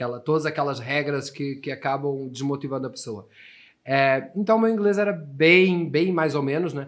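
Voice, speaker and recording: Over a quiet background, a man talks at a fairly quick pace in a fairly high voice with ordinary pitch variation. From Portugal. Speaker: English teacher. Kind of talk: podcast interview.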